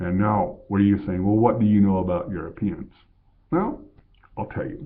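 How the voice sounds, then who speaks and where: The pace stays moderate. It is a plain, everyday voice. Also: man, fairly low pitch for a man, lively intonation. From Colorado, US. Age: 50s. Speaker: vlogger. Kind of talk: casual monologue.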